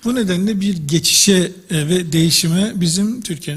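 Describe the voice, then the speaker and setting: A Turkish accent, ordinary pitch variation and a moderate pace, with noticeable background noise. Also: man. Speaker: professor of drama education. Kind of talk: lecture. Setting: congress with audience.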